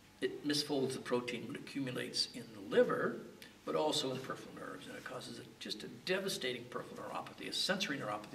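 Over light background noise, a man with a Canadian accent talks at a very fast pace, his loudness swinging widely. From Canada. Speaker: medical geneticist. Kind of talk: interview answer.

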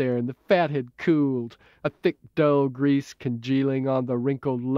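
An unforced reading voice holds fairly even intonation.

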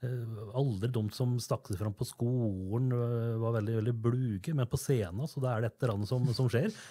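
In a very clean recording with a silent background, a man with a dark, mellow, somewhat breathy tone speaks at medium pitch and a moderate pace, with fairly even intonation and hardly any pauses. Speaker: podcast host. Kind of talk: interview.

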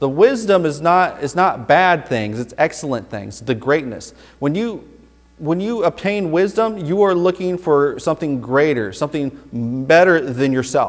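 At a moderate pace, a man speaks with lively intonation against a quiet background. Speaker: Baptist pastor. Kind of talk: sermon exposition. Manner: conversational, explanatory. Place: church. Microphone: podium.

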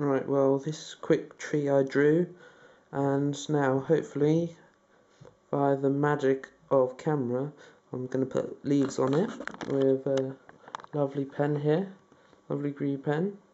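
Fairly slow speech with long, frequent pauses and light background noise. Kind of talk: casual vlog chat. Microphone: phone near.

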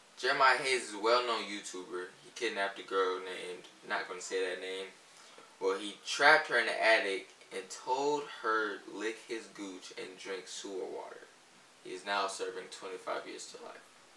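A man at a moderate pace, his loudness swinging widely, with audible room echo. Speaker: vlogger. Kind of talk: casual vlog chat. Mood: joking, deadpan. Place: home room.

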